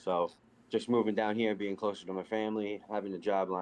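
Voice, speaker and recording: His intonation stays flat and monotone. This man talks at a fairly quick pace. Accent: Northeast US. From New Jersey (born Staten Island, New York). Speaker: league player. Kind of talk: casual interview chat.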